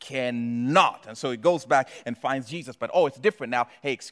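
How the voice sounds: This is a natural reading voice. The text is simply read aloud.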